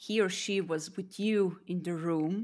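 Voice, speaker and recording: A woman with a non-native accent speaks very slowly at a fairly low pitch, with ordinary pitch variation. The recording is very clean, with a silent background. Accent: non-native English, wants to improve it. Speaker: podcast host. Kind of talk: live interview.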